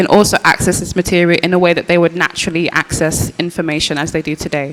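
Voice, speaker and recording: Over noticeable background noise, a woman with a Birmingham accent speaks very fast in a fairly low pitch with monotone, flat intonation. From English Midlands, Birmingham. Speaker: artist, curator and archivist. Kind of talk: panel discussion. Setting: post-screening panel with audience.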